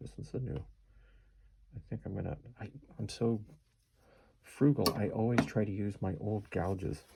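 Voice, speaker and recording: A man's fairly low, dark, mellow voice with vocal fry and lively intonation, at a moderate pace with long, frequent pauses. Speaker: woodcarving instructor. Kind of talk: tutorial. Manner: casual, conversational; whispering at times.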